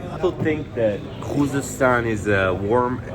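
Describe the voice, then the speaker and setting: A man talks with ordinary pitch variation, his voice carrying audible room echo and noticeable background noise. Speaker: travel vlogger cycling solo. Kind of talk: casual vlog narration. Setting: outdoors at night, walking city streets. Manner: hesitant, filler-heavy.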